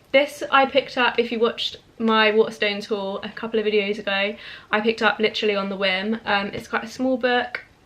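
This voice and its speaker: A woman speaks at a fairly quick pace in a fairly high pitch with fairly even intonation, and noticeable background noise is present. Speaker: book youtuber. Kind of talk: casual chat.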